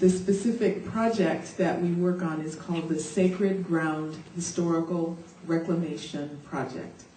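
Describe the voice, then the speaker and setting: Over noticeable background noise and audible room echo, someone with an American accent talks at a fairly slow pace with fairly even intonation. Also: woman, fairly low pitch for a woman. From United States. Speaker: activist. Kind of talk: conference talk. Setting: conference panel, seated.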